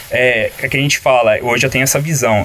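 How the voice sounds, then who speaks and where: A man's medium-pitched voice at a fairly quick pace, fairly even intonation, and noticeable background noise. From São Paulo interior, Cravinhos near Ribeirão Preto. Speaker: designer and illustrator. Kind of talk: casual interview. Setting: studio.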